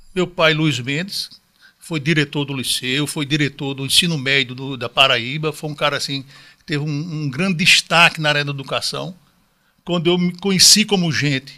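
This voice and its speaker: Recorded very cleanly against a silent background, a man with a plain, everyday voice talks at a moderate pace, with a fairly high pitch and ordinary pitch variation. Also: big swings in loudness. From Northeast Brazil, João Pessoa. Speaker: retired math teacher and school owner. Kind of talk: casual interview.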